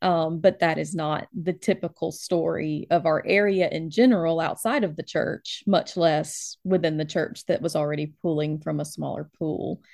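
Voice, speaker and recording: Speaking at a moderate pace with hardly any pauses, a woman with an American accent uses a fairly low pitch, vocal fry, and ordinary pitch variation against a quiet background. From US South, Alabama. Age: 30s. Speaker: librarian and church elder. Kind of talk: interview.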